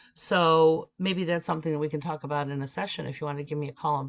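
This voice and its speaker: A woman is speaking. Her pace is fairly quick. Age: 50s. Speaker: spiritual teacher and medium. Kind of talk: live-streamed podcast with viewer readings. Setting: live stream. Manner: casual, with many filler words.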